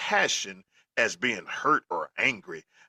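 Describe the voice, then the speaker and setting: A man speaks loudly in a Southern US accent with an animated tone. His tone is bright and sharp, and the sound is dry and close with no echo. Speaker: football podcast co-host. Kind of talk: casual chat.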